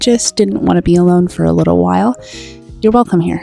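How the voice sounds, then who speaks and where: Over music in the background, a woman speaks in a calm, gentle tone. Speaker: digital artist and video creator. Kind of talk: comfort voiceover over art timelapse. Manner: calm, gentle, soothing.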